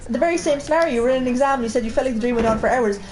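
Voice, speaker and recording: A woman talks in a strong Irish Midlands accent with a high pitch. Noticeable background noise sits behind her. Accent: strong Midlands Irish, boggy. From Ireland, Midlands, County Laois. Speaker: co-host of gaming stream. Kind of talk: casual chat.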